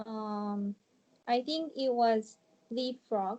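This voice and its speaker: Very slow speech comes from a woman with a Japanese accent and a dark, mellow tone. Her pitch is fairly high and varies in an ordinary way. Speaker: ESL student. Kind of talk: interview. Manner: halting.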